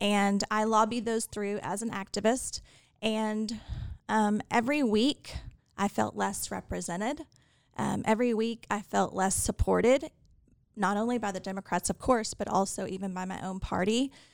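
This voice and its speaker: A woman with an American accent has an ordinary speaking voice at a medium pitch. She talks at a moderate pace with fairly even intonation. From Texas, Fort Worth. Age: 40s. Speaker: political candidate and attorney. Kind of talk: interview.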